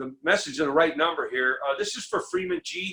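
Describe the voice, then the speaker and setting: The speaker is a man with an American accent. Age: 60s. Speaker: recovering addict speaker. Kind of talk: recovery share to a meeting. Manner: animated.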